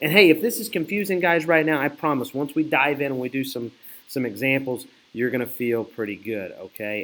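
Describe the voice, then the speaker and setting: This man has a normal speaking voice, pitched fairly high, with lively intonation. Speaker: math teacher. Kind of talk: recorded video lesson. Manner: casual, conversational.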